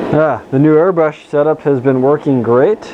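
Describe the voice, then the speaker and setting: There is noticeable background noise as a man talks at a moderate pace with fairly even intonation. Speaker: scale model builder. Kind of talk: tutorial. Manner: casual, with fillers.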